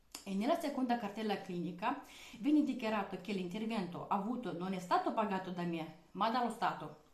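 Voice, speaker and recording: Lively intonation at a fairly quick pace, with audible room echo. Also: woman. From outside Italy. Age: 20s. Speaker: vlogger. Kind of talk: personal testimony monologue. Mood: serious, aggrieved. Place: kitchen. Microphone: webcam.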